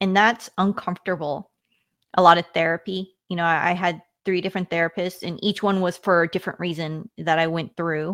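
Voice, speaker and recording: On a very clean recording with a silent background, a woman speaks with an American accent. She has a plain, everyday voice, a fairly low pitch, and a fairly quick pace. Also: dry, close sound with no echo. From US, Washington State. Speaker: retired army officer and communications executive. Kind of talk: interview.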